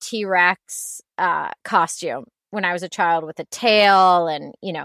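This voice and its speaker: The delivery has ordinary pitch variation, set against a quiet background with a dry sound and no echo. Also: woman. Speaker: podcast guest. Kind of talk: interview answer. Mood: warm, amused. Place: home room.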